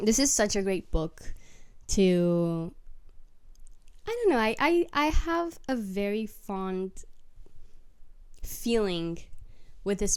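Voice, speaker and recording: A woman's fairly high voice with a non-native accent, lively intonation and a very slow pace, on a very clean recording with a silent background. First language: not English. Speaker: book vlogger. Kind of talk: casual chat. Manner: rambling, halting.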